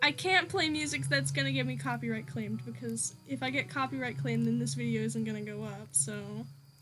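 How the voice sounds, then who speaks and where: A woman rattles along at a fairly quick pace with hardly any pauses, noticeable background noise behind her. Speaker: small YouTuber and artist streaming. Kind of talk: casual live stream chat while drawing. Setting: live stream. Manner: loud at times; rambling with fillers and hesitations.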